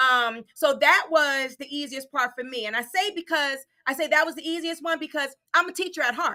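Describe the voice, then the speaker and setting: A woman uses a raised, projected voice with a bright, sharp tone and a high pitch. She goes at a fairly quick pace, with big swings in loudness. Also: ordinary pitch variation. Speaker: assistant principal. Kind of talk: casual chat. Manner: fast.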